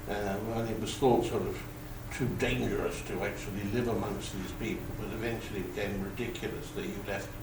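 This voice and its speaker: Medium-pitched man at a moderate pace, fairly even intonation, with noticeable background noise and audible room echo. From England. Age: 60s. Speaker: foreign correspondent. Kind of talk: interview. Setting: studio. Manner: hesitant, many fillers.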